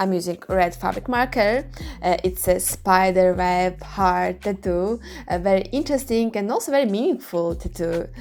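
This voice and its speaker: A woman speaks at a moderate pace in a Russian accent. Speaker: clothing customizer, artist. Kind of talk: tutorial.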